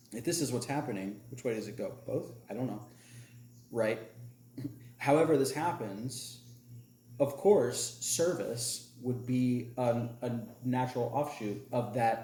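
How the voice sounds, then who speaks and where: Pausing long and often at a fairly slow pace, a man with an American accent and medium pitch has a dark, mellow, somewhat breathy tone, with audible room echo. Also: ordinary pitch variation. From US South. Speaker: podcast host. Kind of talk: casual chat.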